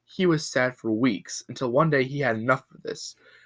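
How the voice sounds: Reading aloud in a natural voice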